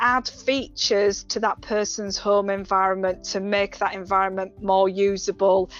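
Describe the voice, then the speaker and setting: Music plays behind a woman speaking. She has a medium pitch and a moderate pace. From West Yorkshire, England. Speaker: occupational therapist. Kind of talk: webinar presentation. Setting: online webinar. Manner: hesitant, with fillers.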